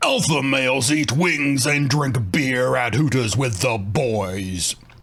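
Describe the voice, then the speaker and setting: Putting on a character voice, a man at medium pitch speaks at a fairly slow pace. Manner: macho, swaggering.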